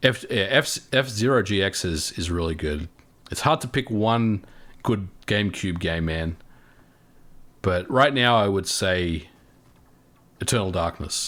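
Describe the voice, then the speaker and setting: With an Australian accent, a man speaks at a fairly low pitch and a fairly slow pace, with lively intonation and long, frequent pauses, in a very clean recording with a silent background. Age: 40s. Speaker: gaming youtuber. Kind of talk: livestream chat reading viewer comments. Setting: livestream. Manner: casual, halting with repetitions.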